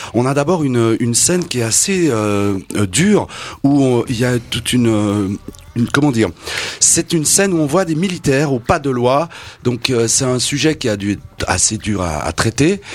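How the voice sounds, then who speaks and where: Against noticeable background noise, a man of medium pitch speaks at a moderate pace with lively intonation. He takes long, frequent pauses. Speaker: radio interviewer. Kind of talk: radio interview.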